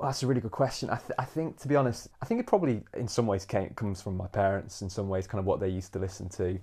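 This voice has a dark, mellow tone, sounds somewhat breathy, and moves at a very fast pace with ordinary pitch variation. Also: man, fairly low pitch for a man. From East Midlands, England (Nottingham). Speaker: amateur musician. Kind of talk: casual chat. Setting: at home over dinner.

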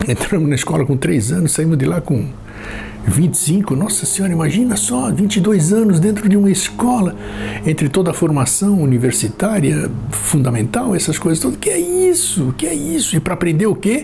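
A man speaks at a moderate pace with very even loudness over noticeable background noise. His pitch is fairly high, and his intonation is lively. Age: 60s. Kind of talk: reflective monologue. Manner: repetitive.

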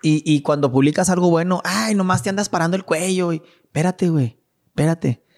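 This man has a high pitch and speaks at a fairly quick pace. His pitch varies in an ordinary way, and the sound is dry and close with no echo. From Mexico, Chihuahua. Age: 30s. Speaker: businessman. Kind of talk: casual chat. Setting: at home.

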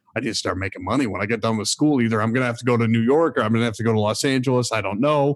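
A man with a medium-pitched voice and an American accent races along at a very fast pace with ordinary pitch variation and hardly any pauses. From Michigan. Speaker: former theme park performer and hotel manager. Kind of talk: casual interview storytelling.

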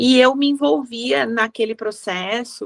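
This woman's fairly high voice unfolds at a very slow pace. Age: 50s. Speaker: wedding decorator. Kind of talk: interview.

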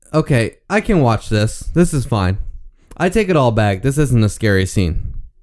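In a very clean recording with a silent background, a loud, animated man speaks at a moderate pace and medium pitch, his pitch swinging very widely. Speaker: podcast host doing movie commentary. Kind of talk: casual movie commentary chat.

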